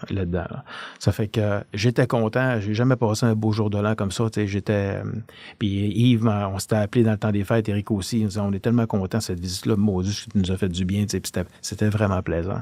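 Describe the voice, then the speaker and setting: Fairly low pitch from a man, with a dark, mellow tone, monotone, flat intonation, and a fairly quick pace. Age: 60s. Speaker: retired police officer. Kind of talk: podcast interview, storytelling. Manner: halting, many hesitations.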